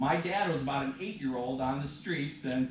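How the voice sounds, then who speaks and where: A man with a fairly high pitch and ordinary pitch variation talks at a fairly quick pace, with audible room echo and noticeable background noise. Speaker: event presenter, son of the featured local historian. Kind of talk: talk to a live audience. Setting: library room with live audience. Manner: loud.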